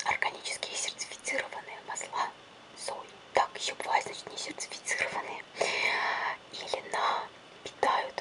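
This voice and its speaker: A woman whispers, keeping a moderate pace. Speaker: ASMR creator. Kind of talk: ASMR product review. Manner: whispered. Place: home room.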